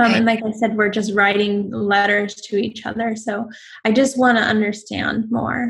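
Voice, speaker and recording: Somewhat breathy, a woman talks at a moderate pace and fairly high pitch with monotone, flat intonation. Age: 40s. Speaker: interview guest sharing personal story. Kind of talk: casual chat.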